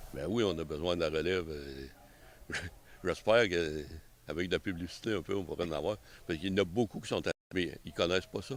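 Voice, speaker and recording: A man's very deep, low voice at a fairly quick pace, with long, frequent pauses and ordinary pitch variation. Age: 70s. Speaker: member of a historical arquebus association. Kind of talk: casual interview. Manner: halting, with many repetitions.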